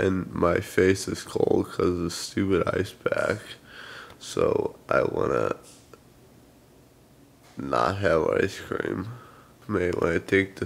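A man mumbling at a very slow pace, with long, frequent pauses. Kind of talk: casual vlog chat. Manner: numb, mumbling post-surgery voice. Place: home room. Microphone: phone near.

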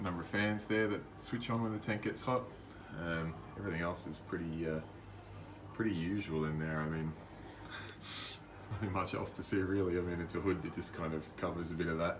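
A man's very deep, low pitch at a fairly quick pace, with ordinary pitch variation and noticeable background noise. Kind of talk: casual tour commentary. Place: home room. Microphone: phone near.

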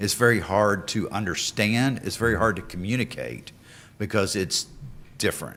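A bright, sharp tone with vocal fry comes at a moderate pace with ordinary pitch variation. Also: man, fairly low pitch for a man. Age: 50s. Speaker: utility rate consultant. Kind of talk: public meeting presentation. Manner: halting.

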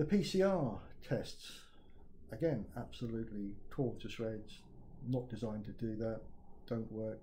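A man with a southern English accent speaks at a fairly slow pace in a dark, mellow, somewhat breathy tone. His pitch varies an ordinary amount, he leaves long, frequent pauses, and light background noise is audible. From southern England. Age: 60s. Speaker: retired IT project manager. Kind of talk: video testimony. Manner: halting, many fillers. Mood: critical, earnest. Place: home room. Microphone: phone near.

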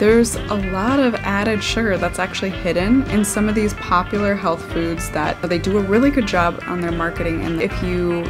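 Clear music plays behind a woman who talks at a fairly quick pace with hardly any pauses. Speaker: health coach. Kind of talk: casual vlog chat. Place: home room.

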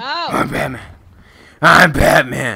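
A man speaks in a put-on character voice at a moderate pace, his pitch fairly high. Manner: shouted, gruff put-on superhero voice.

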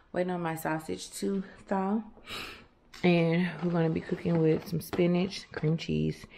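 A woman speaks at a fairly slow pace with a fairly low pitch. Her tone is dark and mellow, with light background noise behind her. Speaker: vlogger. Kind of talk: casual vlog chat. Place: kitchen. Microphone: phone near.

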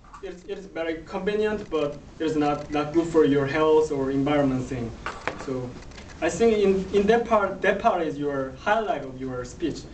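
Speech moves at a moderate pace with light background noise behind it. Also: man. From South Korea. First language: Korean. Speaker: speech evaluator. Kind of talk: speech evaluation. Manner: halting. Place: classroom. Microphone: camera far.

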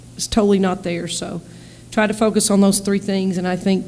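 Monotone, flat intonation carries over light background noise. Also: woman. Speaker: basketball head coach. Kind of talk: interview answer. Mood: calm, measured after a win. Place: meeting room. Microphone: podium.

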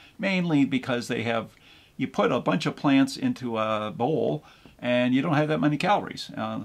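Lively intonation marks this man's speech, delivered at a moderate pace. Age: 60s. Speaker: seasonal Santa performer. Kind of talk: casual talk to camera. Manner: rambling, folksy, hesitant. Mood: relaxed, humorous. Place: kitchen. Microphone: camera far.

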